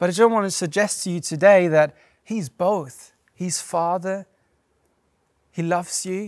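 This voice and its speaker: On a very clean recording with a silent background, a man talks at a moderate pace in a high pitch with fairly even intonation. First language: not English. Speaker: pastor. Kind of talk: sermon. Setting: church. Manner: conversational.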